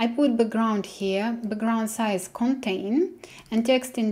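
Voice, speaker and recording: A woman with a Russian accent speaks very slowly in a fairly high voice with a dark, mellow tone and ordinary pitch variation. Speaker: programming tutor. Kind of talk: coding tutorial. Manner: hesitant, with many fillers. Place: home room.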